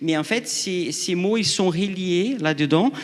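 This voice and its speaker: A man talks with ordinary pitch variation. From outside France. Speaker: researcher. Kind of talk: panel discussion. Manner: halting.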